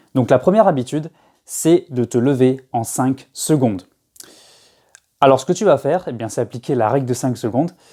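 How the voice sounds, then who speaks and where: Recorded very cleanly against a silent background, a man of medium pitch speaks at a fairly quick pace with ordinary pitch variation. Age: 20s. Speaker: self-help youtuber. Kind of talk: casual vlog advice. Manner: hesitant, many fillers and repetitions.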